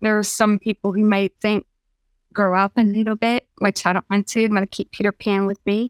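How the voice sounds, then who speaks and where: A normal speaking voice at a moderate pace, in a very clean recording with a silent background and a dry, close sound with no echo. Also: woman. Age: 50s. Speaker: dating podcast guest. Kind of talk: casual interview.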